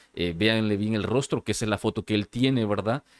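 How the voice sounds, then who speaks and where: Against a quiet background, a man speaks in a fairly low voice, the sound dry with no echo. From El Salvador, San Salvador. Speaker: podcast host. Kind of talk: interview. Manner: halting, repeats words. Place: studio. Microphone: studio mic.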